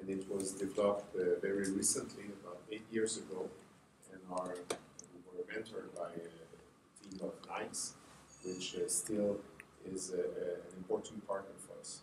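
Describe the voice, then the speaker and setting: A man with a Quebec accent speaks at a fairly slow pace, his loudness swinging widely, in a room with audible echo. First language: French. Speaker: health agency representative. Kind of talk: conference presentation. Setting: conference workshop with audience. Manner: halting, many fillers.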